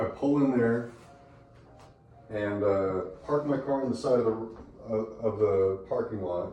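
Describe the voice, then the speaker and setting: Amid noticeable background noise and audible room echo, a man speaks at a fairly slow pace with ordinary pitch variation and long, frequent pauses. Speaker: eyewitness telling a personal experience. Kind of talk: personal storytelling, stream of consciousness. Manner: rambling, hesitant with many fillers.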